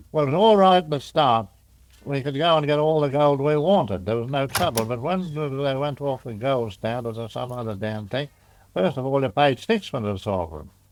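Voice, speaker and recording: In a very clean recording with a silent background, a man speaks fairly quickly with an Australian accent. His voice is fairly high, with lively intonation. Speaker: pearling master and storekeeper. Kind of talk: oral history interview answer. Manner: sober yet humorous.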